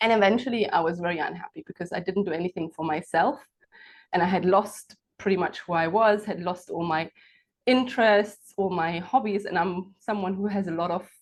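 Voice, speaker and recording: Fairly quick speech with a German accent and ordinary pitch variation. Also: woman. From Germany. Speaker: entrepreneur and coach. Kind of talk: interview.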